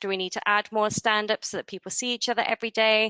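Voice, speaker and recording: A woman speaks with a fairly high pitch and a bright, sharp tone. She has a non-native accent, and the sound is dry and close with no echo. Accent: non-American accent, origin abroad. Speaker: support team manager. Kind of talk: webinar presentation.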